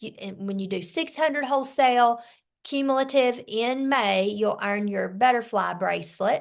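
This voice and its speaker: Someone speaks with a Southern US accent at a fairly slow pace, with ordinary pitch variation. The background is quiet. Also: woman. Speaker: sales team leader. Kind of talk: team training meeting.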